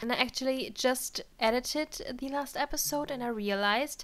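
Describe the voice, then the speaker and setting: Using a raised, projected voice, a woman speaks at a moderate pace. Her pitch is high and her intonation lively. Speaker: gaming let's play creator. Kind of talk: casual gameplay commentary.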